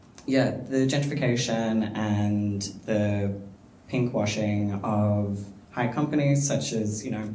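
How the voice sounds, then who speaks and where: A man speaks at a very slow pace and a fairly low pitch. The room echo is audible. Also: ordinary pitch variation. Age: 20s. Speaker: panellist. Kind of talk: panel discussion.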